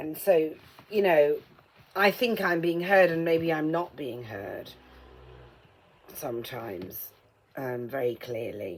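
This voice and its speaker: Very deep and low in pitch, a woman with a British accent speaks at a very slow pace with very wide pitch swings. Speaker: vlogger. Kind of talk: casual vlog while painting a mug. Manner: muffled, as if ball in mouth; hesitant, many ums.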